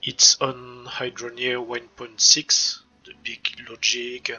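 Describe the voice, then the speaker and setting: A man's voice in a French accent, with music in the background. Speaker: gaming YouTuber. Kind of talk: game tutorial. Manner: hesitant, repeats words.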